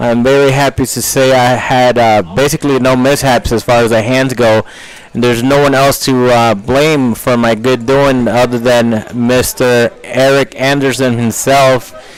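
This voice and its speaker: Over noticeable background noise, a man speaks with hardly any pauses, very even loudness, and monotone, flat intonation. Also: medium pitch for a man, moderate pace. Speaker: poker stream commentator. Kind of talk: live commentary.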